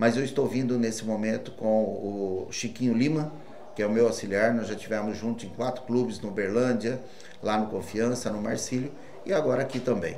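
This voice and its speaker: Male voice at medium pitch and moderate pace, fairly even intonation, with noticeable background noise and audible room echo. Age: 60s. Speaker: football coach. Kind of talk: press conference.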